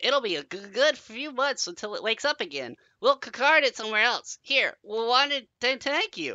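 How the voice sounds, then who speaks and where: Doing a put-on character voice, a man speaks at an extremely high pitch and moderate pace with hardly any pauses. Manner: chattering, grateful.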